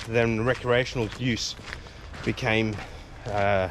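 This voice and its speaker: Amid noticeable background noise, a man speaks at medium pitch and a very slow pace with fairly even intonation. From South Africa. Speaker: police federation official. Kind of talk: casual interview while walking. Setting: outdoors. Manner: hesitant, many fillers.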